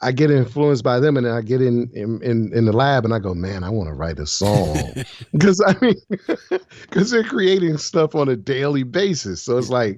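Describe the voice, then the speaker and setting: A man speaks at medium pitch and a moderate pace. His pitch swings very widely. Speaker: voice actor. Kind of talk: interview answer.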